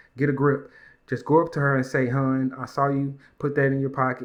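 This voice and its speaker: A man is speaking fairly quickly. His intonation stays monotone and flat. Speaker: YouTube commentator. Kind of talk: reaction commentary reading social media comments. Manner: loud.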